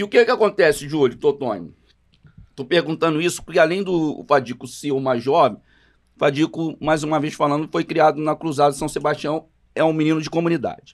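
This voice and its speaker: A man with a fairly high pitch talks at a fairly quick pace with ordinary pitch variation. The background is quiet. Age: 50s. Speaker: samba composer, podcast co-host; podcast co-host. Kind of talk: casual chat. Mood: relaxed, convivial. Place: studio. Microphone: studio mic.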